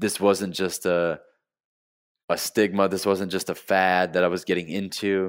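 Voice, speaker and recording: A man with an American accent and a very deep, low pitch, on a very clean recording with a silent background. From Flint, Michigan (US Midwest). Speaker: vegan business owner, former Marine. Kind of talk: interview conversation. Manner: halting, repeats words.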